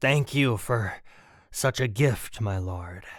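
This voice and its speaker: A man puts on a raspy character voice at medium pitch. He goes at a very slow pace over a very clean recording with a silent background. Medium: read story. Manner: servile.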